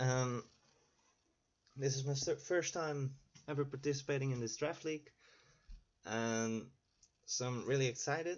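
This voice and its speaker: With a non-native accent, a man talks at a moderate pace and a fairly high pitch, his intonation fairly even. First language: not English. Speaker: gaming YouTuber. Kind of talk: gameplay commentary. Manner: halting.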